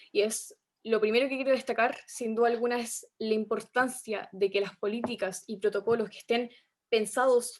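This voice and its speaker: In a plain, everyday voice, a woman talks at a moderate pace with fairly high pitch, ordinary pitch variation and a quiet background. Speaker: youth activist. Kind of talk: panel discussion.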